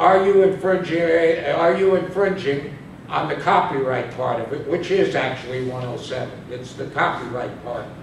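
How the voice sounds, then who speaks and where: There is noticeable background noise and audible room echo as a man speaks with a high pitch. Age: 70s. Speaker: student presenter. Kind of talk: class presentation. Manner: halting.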